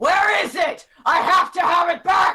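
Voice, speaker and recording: Shouting in a put-on character voice at an extremely high pitch, the speaker goes at a fairly slow pace. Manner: angry, demanding.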